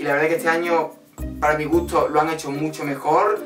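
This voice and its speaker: Here a man talks with fairly even intonation. There is audible room echo and faint music in the background. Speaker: music reaction vlogger. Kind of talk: casual vlog commentary. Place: home room.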